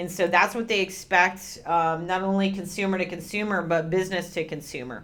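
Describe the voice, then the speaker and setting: With a normal speaking voice, a woman at medium pitch talks at a fairly quick pace with fairly even intonation and hardly any pauses. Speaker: webinar presenter for a video banking company. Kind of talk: webinar presentation with Q&A. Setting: recorded webinar. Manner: many filler ums.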